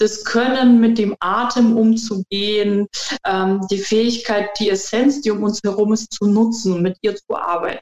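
A woman speaks at a fairly slow pace in a fairly high pitch with fairly even intonation and an ordinary speaking voice. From Germany. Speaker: qigong trainer and alternative practitioner. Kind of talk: interview.

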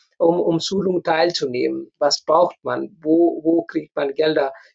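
Speaking at a fairly slow pace, a man with a Nepali accent has a high voice. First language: Nepali (speaking German). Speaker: community association leader. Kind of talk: interview. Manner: halting.

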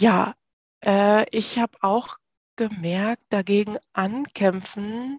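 A woman speaks very slowly at a medium pitch with ordinary pitch variation, in a dry, close recording with no echo. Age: 30s. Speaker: working mother, course participant. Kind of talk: interview. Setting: phone call.

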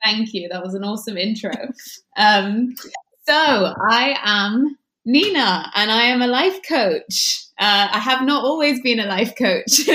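A woman's fairly high, bright, sharp voice at a fairly slow pace. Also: lively intonation. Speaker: life coach. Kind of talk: casual chat. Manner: warm.

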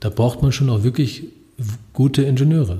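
The tone is dark and mellow, somewhat breathy. Delivery moves at a fairly quick pace. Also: man. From Germany, Lower Saxony (partly Upper Franconia). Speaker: robotics professor. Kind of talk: interview. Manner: hesitant, many filler sounds.

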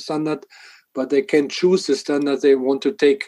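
A man speaks at a fairly high pitch with a German accent. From Germany. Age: 60s. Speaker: water association department head. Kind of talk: podcast interview.

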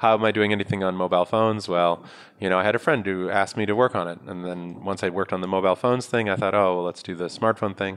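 A man with an American accent talks very fast, with hardly any pauses. His very deep, low voice keeps a fairly even intonation. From New York. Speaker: startup founder and investor. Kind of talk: interview.

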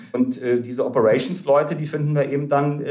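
Amid noticeable background noise and audible room echo, a man at medium pitch talks at a fairly quick pace. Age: 30s. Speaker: startup founder and investor. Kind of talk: podcast interview.

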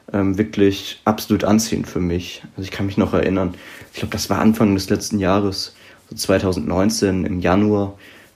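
A man's fairly deep voice holds a moderate speed and fairly level intonation while noticeable background noise sits beneath it. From southern Palatinate, Germany. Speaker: political author and student. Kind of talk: podcast interview.

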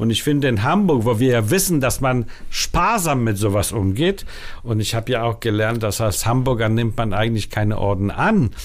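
Amid music in the background and audible room echo, a man speaks at a medium pitch with lively intonation and very even loudness. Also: moderate pace. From Denmark, Copenhagen (born in Warsaw). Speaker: film festival director. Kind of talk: interview.

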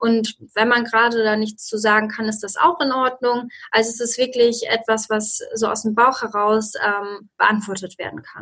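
This voice has a bright, sharp tone and a monotone, flat intonation, moving at a moderate pace with big swings in loudness. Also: woman, fairly high pitch for a woman. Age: 20s. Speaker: master's student and researcher. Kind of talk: podcast interview.

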